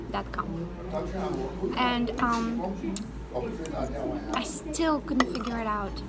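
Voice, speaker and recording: Loud background noise surrounds a woman who speaks at a fairly slow pace. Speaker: food vlogger. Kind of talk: casual vlog chat. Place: cafe. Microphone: phone near.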